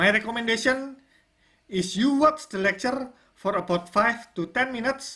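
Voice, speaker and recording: A woman with a non-native accent speaks at a moderate pace. Her fairly high pitch comes in a bright, sharp tone with lively intonation. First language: not English. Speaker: online course instructor. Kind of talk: tutorial.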